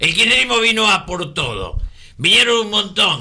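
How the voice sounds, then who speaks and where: With a Rioplatense accent, a man talks at a moderate pace over noticeable background noise. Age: 70s. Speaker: radio co-host, political commentator. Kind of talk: casual political chat on radio. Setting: radio studio.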